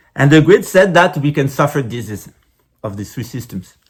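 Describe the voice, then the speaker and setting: Fairly high-pitched male voice with a non-native accent, somewhat breathy, lively in intonation and moderate in pace. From France. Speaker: spiritual teacher. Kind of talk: lecture. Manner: halting, with fillers and repetitions.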